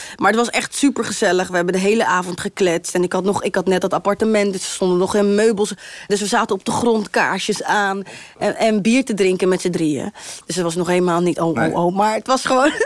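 Noticeable background noise is present throughout. A woman speaks over it at a very fast pace. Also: medium pitch for a woman, ordinary pitch variation. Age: 20s. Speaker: singer. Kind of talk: casual chat.

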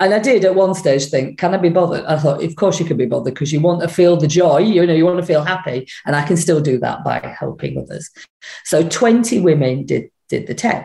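A woman speaks at a fairly quick pace in a normal speaking voice. Her pitch is fairly low, with ordinary pitch variation. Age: 50s. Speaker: speaker trainer. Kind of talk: casual chat.

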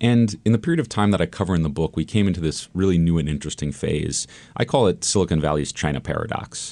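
A man with an American accent speaks very fast, with hardly any pauses and lively intonation. His very deep, low pitch carries a dark, mellow tone in a very clean recording with a silent background. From California, Palo Alto. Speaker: journalist and author. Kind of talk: radio interview. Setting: radio studio.

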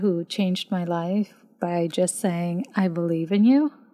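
In a very clean recording with a silent background, a woman with a Spanish accent speaks fairly slowly in a dark, mellow, medium-pitched voice with fairly even intonation. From Puerto Rico. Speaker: spiritual care provider. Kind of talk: casual chat.

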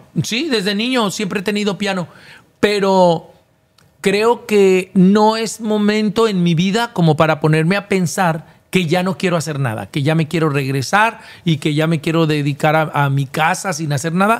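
Fairly slow delivery with ordinary pitch variation. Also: man, high pitch for a man. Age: 50s. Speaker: TV presenter and former reality show contestant. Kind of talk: casual interview.

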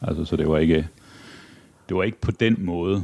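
This is a man's voice, very deep and low in pitch. Its pitch variation is ordinary. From Denmark, Aarhus. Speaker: politician. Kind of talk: interview. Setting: his parliament office.

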